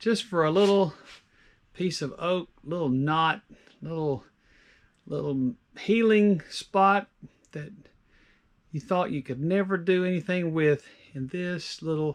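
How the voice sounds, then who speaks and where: A man with a high pitch speaks at a fairly slow pace. His speech has long, frequent pauses against a quiet background. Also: ordinary pitch variation. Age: 60s. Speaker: woodturner. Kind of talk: tutorial. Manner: casual, with many fillers.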